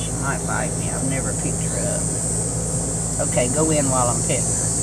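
Very fast speech in an American accent under loud background noise. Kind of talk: casual talk outdoors. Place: garden. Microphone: phone near.

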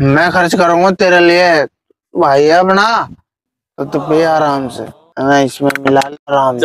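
A man at a very slow pace, with a dry sound free of echo and light background noise. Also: ordinary pitch variation. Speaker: actor in comedy skit. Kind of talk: acted dialogue. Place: open country. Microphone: lapel.

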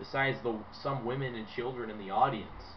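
A man speaks in an animated tone at a moderate pace. Light background noise is present. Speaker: wrestling fan YouTuber. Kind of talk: angry rant; opinionated video commentary. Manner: emphatic, repetitive, dismissive; loud, sarcastic, animated. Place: home room. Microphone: webcam.

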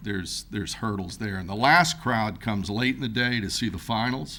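Audible room echo surrounds a man speaking at a fairly quick pace with a fairly low pitch. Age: 60s. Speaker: boat race event organizer. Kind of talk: public comment at council meeting. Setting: city hall chambers.

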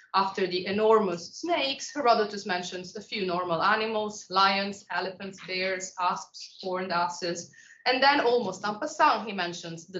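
A woman speaks at a moderate pace, with room echo clearly audible. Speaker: visiting lecturer. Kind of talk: lecture. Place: classroom.

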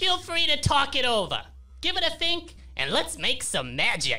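A put-on character voice speaks at a moderate pace over clear background music. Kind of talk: comic overacting. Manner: effervescent, bizarre, hucksterish.

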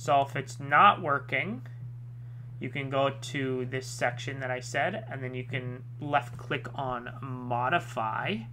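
Music can be heard behind the speaker. The delivery is very slow. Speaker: tech tutorial YouTuber. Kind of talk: tutorial. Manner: casual, with filler words and self-corrections.

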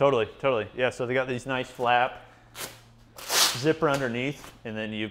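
A man speaks at a moderate pace. Loud noise fills the background. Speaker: gym review host. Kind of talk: casual tour commentary. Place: garage. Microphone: lapel.

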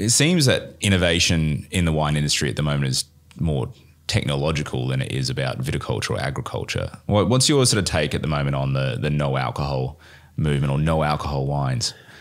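An Australian-accented man with a very deep, low pitch, a fairly quick pace and ordinary pitch variation. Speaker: wine podcast host and trained winemaker. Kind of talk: interview. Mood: relaxed, curious. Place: studio. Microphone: studio mic.

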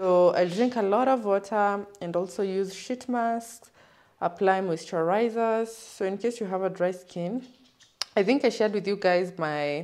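A woman at a fairly slow pace, with ordinary pitch variation and a quiet background. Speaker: vlogger. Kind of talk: casual vlog chat. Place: home room. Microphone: phone near.

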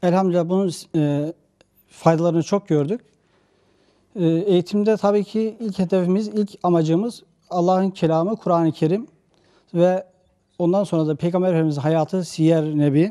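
Over a quiet background, a man with a high-pitched voice and a dark, mellow tone speaks at a moderate pace with fairly even intonation, very even loudness, and long, frequent pauses. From Turkey, Kütahya; Turkey. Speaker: Quran and religion teacher; religion teacher. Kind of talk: interview. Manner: halting, many filler sounds. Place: office. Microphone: handheld.

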